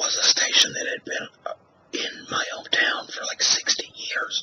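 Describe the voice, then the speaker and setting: Over noticeable background noise, the whispering moves at a fairly slow pace. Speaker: ASMR artist and former radio talk show host. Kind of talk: ASMR whisper talk to camera. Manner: whispered.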